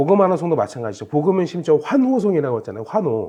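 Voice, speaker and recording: This is a man talking. His voice is high. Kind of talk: Bible quiz explanation talk. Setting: recorded video.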